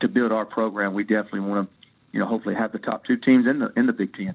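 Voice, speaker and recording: Here a man speaks with a Tennessee accent. His pitch is fairly low. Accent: Southern US (Tennessee). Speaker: college baseball head coach. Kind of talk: interview. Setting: podcast interview.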